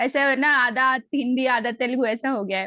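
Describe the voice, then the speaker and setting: A woman with a slight Hyderabadi accent speaks at a moderate pace, in a dry, close sound with no echo. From Telugu-speaking, schooled in Delhi. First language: Telugu (speaking Hindi). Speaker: Gita class student. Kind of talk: testimony.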